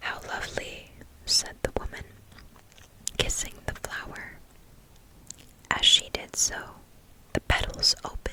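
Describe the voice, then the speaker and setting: A voice whispers. Noticeable background noise is present. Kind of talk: fairytale reading to help sleep. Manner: whispered, soft.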